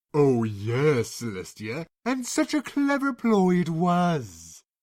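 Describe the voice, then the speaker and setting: A man performs a put-on character voice. His pitch is fairly high and his pace very slow. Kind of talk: read story. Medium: read story. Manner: sardonic, theatrical.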